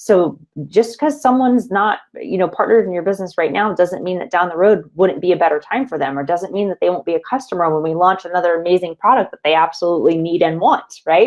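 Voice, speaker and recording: At a very fast pace, a woman with a medium pitch speaks with lively intonation. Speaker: network marketing trainer. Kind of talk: training presentation. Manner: casual.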